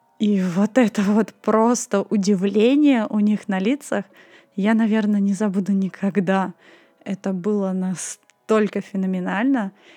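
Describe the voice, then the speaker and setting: A woman at medium pitch, fairly slow and fairly even, in a dry, close sound with no echo and music in the background. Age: 20s. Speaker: podcast host. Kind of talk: solo storytelling podcast.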